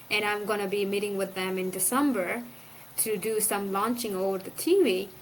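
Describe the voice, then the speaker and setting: Here a woman is speaking. She has an Afghan accent. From Afghanistan, Kandahar. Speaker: former provincial council member. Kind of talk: interview. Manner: fast.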